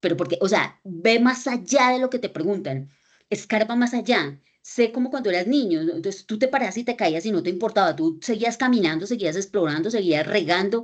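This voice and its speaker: A woman talks at a fairly quick pace with lively intonation and a medium pitch. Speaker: lecturer on critical reading. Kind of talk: lecture. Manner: fast; animated.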